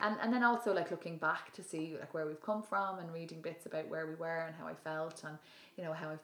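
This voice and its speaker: Spoken with a Dublin accent, the voice moves at a moderate pace with ordinary pitch variation. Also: woman. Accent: Dublin Irish. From Ireland (Dublin). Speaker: yoga teacher and public speaker. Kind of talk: casual chat. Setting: at home.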